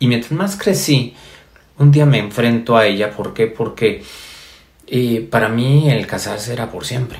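A man speaks at a fairly slow pace with a medium pitch and ordinary pitch variation. His voice is somewhat breathy. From Mexico, Yucatán. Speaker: spiritual speaker. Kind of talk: motivational spiritual talk. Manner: halting, many fillers and repetitions.

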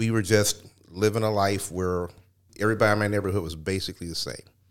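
The speaker talks at a very fast pace in a flat, monotone intonation, with a Midwestern American accent. The recording is very clean with a silent background. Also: man. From Cleveland, Ohio. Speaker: radio host and former stand-up comedian. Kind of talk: interview.

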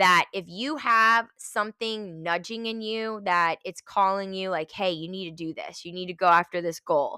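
Bright and sharp in tone, a woman's medium-pitched voice moves at a moderate pace with ordinary pitch variation, on a very clean recording with a silent background and a dry, close sound with no echo. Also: hardly any pauses, big swings in loudness. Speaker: gym owner and podcaster. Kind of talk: pep talk. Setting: home, recorded in kids' bedroom. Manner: fired-up, motivational, emphatic; casual, chatty, with filler words.

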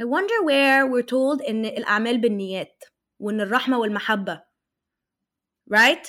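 An animated woman with an Arabic accent speaks fairly slowly in a high, bright, sharp voice with ordinary pitch variation and long, frequent pauses. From Egypt. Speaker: life and health coach. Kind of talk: casual interview.

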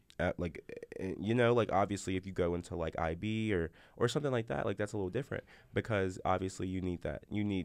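An unremarkable speaking voice from a man, fairly low in pitch, with ordinary pitch variation, a fairly quick pace and a quiet background. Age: 20s. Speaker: college student podcast host. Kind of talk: casual chat.

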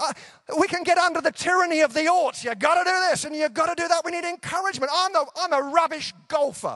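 Raising and projecting his voice, a man with an English accent speaks at an extremely high pitch in a tone that is warm yet bright and sharp. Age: 50s. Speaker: preacher. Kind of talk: evangelical conference sermon, warm pastoral exhortation to a big-tent crowd. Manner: conversational and self-deprecating, easing into humorous anecdotes; warm, earnest, rising encouragement with repeated rhetorical punches.

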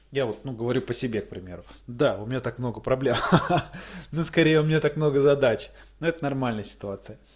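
Speaking at a very fast pace, a man talks. His pauses are long and frequent. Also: medium pitch for a man, ordinary pitch variation. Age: 20s. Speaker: video blogger. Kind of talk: casual monologue. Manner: conversational with filler hesitations.

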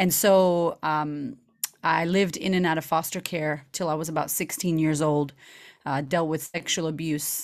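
The speaker, with an American accent, goes at a moderate pace. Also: woman. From Boston, Massachusetts, US. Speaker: confidence coach. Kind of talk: casual interview. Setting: video call. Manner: animated.

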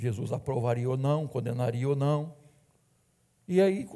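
This man speaks at a fairly slow pace with a medium pitch, a dark, mellow tone, somewhat breathy delivery and ordinary pitch variation. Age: 60s. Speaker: pastor. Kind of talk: sermon. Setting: church.

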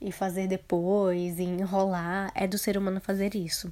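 A woman's medium-pitched voice has a dark, mellow tone, captured on a very clean recording with a silent background. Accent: Brazilian. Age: 20s. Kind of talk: solo motivational podcast talk.

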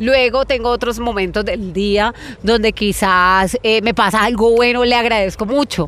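Against noticeable background noise, a woman speaks at a fairly slow pace. Her pitch is fairly high and her intonation fairly even. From Colombia, Florencia, Caquetá. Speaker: radio presenter. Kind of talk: interview conversation.

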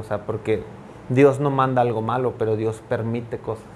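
A man at a medium pitch, monotone and flat, at a fairly slow pace. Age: 30s. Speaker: pastor. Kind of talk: casual chat. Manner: halting, repeats words.

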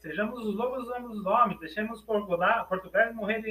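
A man with a high voice, raised and projected, speaks at a moderate pace. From Brazil. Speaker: academic author on African philosophy. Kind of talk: lecture.

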